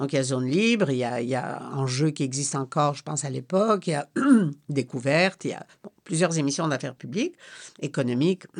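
Speaking at a fairly quick pace, a woman with a very deep, low pitch uses lively intonation and big swings in loudness. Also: quiet background. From Poland, then Quebec. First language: Polish (speaking French). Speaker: retired foreign correspondent. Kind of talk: interview. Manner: hesitant, with repetitions.

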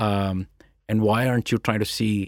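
A man with an Indian accent is heard in a dry, close sound with no echo. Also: very clean recording, silent background. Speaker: tech company founder and CEO. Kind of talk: interview. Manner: reflective.

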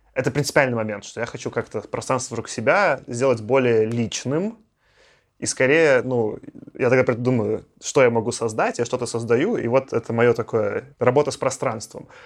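Using an ordinary speaking voice, a man speaks at a moderate pace with ordinary pitch variation. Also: medium pitch for a man. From Belarus. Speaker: podcast host. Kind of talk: casual chat.

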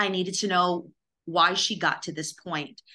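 A bright, sharp tone with an American accent over a quiet background. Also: woman. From New York. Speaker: declutterer and mindset coach. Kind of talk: interview.

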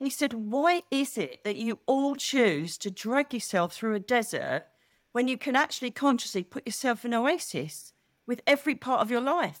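Spoken at a moderate pace with lively intonation in an Essex accent, the voice sounds dry and close with no echo. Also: woman, high pitch for a woman. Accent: southern English (Essex). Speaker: psychic medium. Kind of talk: casual interview chat. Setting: video call. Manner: animated.

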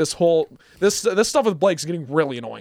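A man with a high pitch is heard in a dry, close sound with no echo on a very clean recording with a silent background. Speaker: college radio sports co-host. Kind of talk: casual sports talk. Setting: radio studio.

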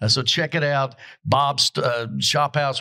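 A man with a Southern US accent has a bright, sharp tone and fairly even intonation. The recording is very clean, with a silent background. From Kentucky. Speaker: podcast host. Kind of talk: casual chat. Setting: hotel venue.

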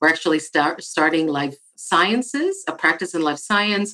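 With a Spanish accent, a woman talks at a moderate pace in a very deep, low pitch and a bright, sharp tone. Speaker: architect and diversity director. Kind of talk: interview.

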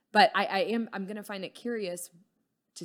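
Here is an animated tone with an American accent, at a moderate pace with ordinary pitch variation. The recording is very clean, with a silent background. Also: woman. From Texas. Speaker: cannabis shop owner. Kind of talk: casual chat.

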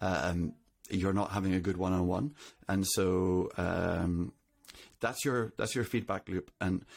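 A man with a Northern Irish accent speaks at a very deep, low pitch with fairly even intonation, in a very clean recording with a silent background. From Northern Ireland. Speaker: CTO. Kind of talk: interview.

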